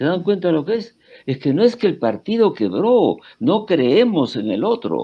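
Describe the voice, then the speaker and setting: A man's high voice at a fairly slow pace, full of very wide pitch swings. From Peru. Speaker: historian. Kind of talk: interview. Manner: halting, many fillers and restarts.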